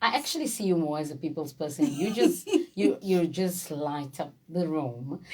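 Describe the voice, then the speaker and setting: A woman at a moderate pace, upbeat and warm in tone, over noticeable background noise. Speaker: radio show host. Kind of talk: radio interview hosting. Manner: upbeat, warm.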